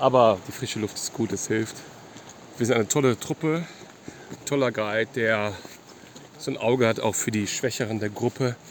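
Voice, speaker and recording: Amid noticeable background noise, a man at medium pitch speaks with ordinary pitch variation and long, frequent pauses. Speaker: podcast co-host. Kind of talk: casual chat while hiking. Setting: outdoors on a mountain trek. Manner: halting, hesitant.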